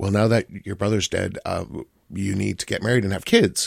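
Vocal fry runs through this voice. The intonation is fairly even. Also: man. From US Midwest. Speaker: pop music critic. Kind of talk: radio interview, casual chat. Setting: studio.

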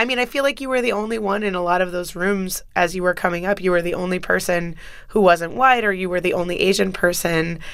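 Her delivery is very fast. The woman's voice is medium in pitch. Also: ordinary pitch variation, hardly any pauses. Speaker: fill-in radio host. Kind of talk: interview. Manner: laughs often.

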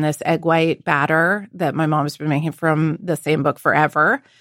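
A woman with a normal speaking voice and fairly low pitch speaks at a moderate pace on a very clean recording with a silent background and a dry, close sound with no echo. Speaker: cookbook author and chef. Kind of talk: casual chat.

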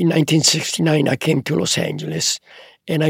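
A man with an Italian accent at a fairly quick pace, vocal fry in his voice, the sound dry and close with no echo. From Italy. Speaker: photographer. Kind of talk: casual chat. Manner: halting.

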